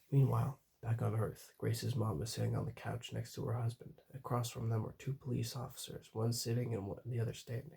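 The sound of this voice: The voice is an unforced reading voice. It reads the text aloud.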